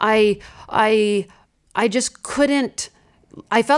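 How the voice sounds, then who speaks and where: A woman talks at medium pitch with ordinary pitch variation. It is an unremarkable speaking voice. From US Midwest. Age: 30s. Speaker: seminary-trained women's speaker, chronic illness sufferer. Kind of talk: testimony.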